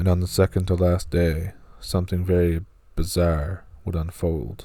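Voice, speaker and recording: Monotone and flat, a man with a very deep, low pitch and a somewhat breathy voice talks at a moderate pace. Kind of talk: horror encounter story narration.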